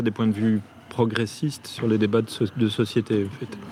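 A man talks in an unremarkable speaking voice at medium pitch. His pace is moderate. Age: 50s. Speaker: theatre director. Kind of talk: interview.

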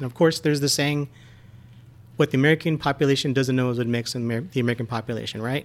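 Speaking at medium pitch, a man keeps his intonation fairly even. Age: 40s. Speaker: podcast guest. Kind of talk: casual chat.

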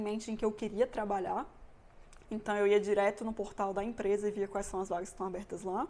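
A woman with a plain, everyday voice, fairly high pitch, fairly even intonation and a fairly quick pace. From Brazil, Brasília. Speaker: mechanical engineering student. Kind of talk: casual interview. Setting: host's home.

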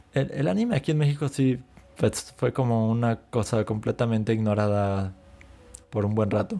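The tone is dark and mellow, with ordinary pitch variation. The pace is moderate and the loudness very even. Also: man, medium pitch for a man. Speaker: anime and gaming podcast co-host. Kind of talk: casual chat.

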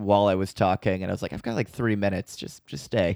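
Recorded dry and close with no echo against a quiet background, a man speaks with an American accent. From US Midwest. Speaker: podcast co-host and comedian. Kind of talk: casual chat.

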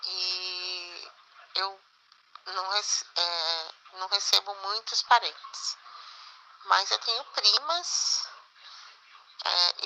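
A woman is heard speaking. Her pitch lands in the medium range. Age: 50s. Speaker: interview guest. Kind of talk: interview answers. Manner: halting.

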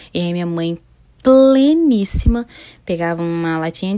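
A dark, mellow tone with very wide pitch swings. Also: woman. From Niterói, Rio de Janeiro, Brazil. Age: 20s. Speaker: podcast host. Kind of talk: casual monologue. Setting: home bedroom, seated on floor.

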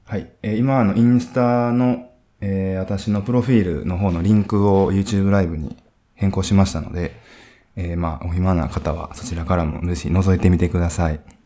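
Speaking at a fairly quick pace, a man with a very deep, low pitch uses ordinary pitch variation. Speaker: radio host. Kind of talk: casual live-streamed interview. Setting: live stream from hotel studio. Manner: hesitant, filler-heavy.

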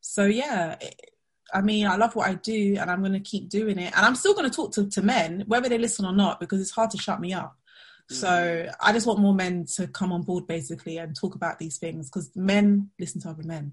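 With a London accent, a woman talks at a fairly quick pace and medium pitch, somewhat breathy, with ordinary pitch variation, big swings in loudness and a quiet background. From Southeast London. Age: 30s. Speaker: money mindset coach. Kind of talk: webinar interview.

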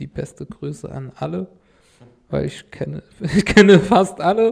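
A man with an Arabic accent at a fairly slow pace. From Syria, Damascus. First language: Arabic (speaking German). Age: 30s. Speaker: refugee, car salesman. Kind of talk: interview, life story.

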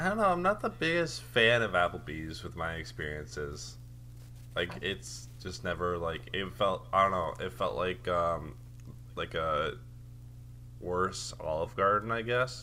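At a fairly slow pace, a man with a very deep, low pitch speaks with vocal fry, very wide pitch swings and a bright, sharp tone. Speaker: podcast co-host. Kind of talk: casual chat.

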